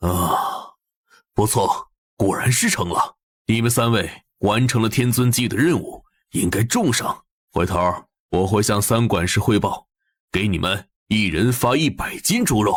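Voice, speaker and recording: In a cartoonish character voice, the speaker goes at a moderate pace with ordinary pitch variation and long, frequent pauses, on a very clean recording with a silent background. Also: man, medium pitch for a man. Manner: blustery.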